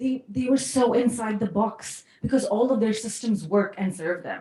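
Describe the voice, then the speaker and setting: An animated woman's voice, fairly high in pitch, comes through noticeable background noise. She talks at a fairly quick pace with ordinary pitch variation. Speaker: case competition coach, ex-consultant. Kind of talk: workshop talk. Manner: loud.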